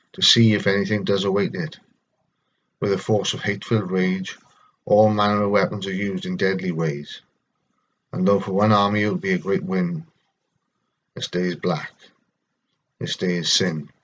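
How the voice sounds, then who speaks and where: The speaker has a Welsh accent and a moderate pace. The intonation stays fairly even, broken by long, frequent pauses. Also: man, fairly low pitch for a man. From Wales. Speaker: vlogger with schizophrenia reading own poetry. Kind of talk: poetry reading; personal reflection. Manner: halting.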